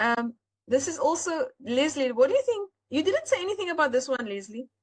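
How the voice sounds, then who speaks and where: Her high voice swings very widely in pitch. The woman moves at a fairly quick pace. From South Africa. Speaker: AI art seller and webinar host. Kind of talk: live webinar tutorial. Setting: live online webinar.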